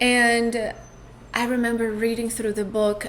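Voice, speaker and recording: A woman with a Portuguese accent talks at a fairly high pitch, with noticeable background noise and audible room echo. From Brazil. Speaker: podcast host, spiritual coach. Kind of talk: personal storytelling monologue. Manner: reflective, with hesitations.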